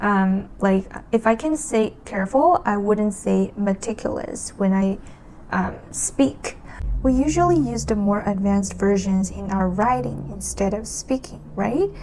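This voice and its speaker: Noticeable background noise sits under speech delivered at a fairly slow tempo. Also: woman. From China. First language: Chinese. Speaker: language learning vlogger. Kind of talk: casual talk to camera. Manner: halting.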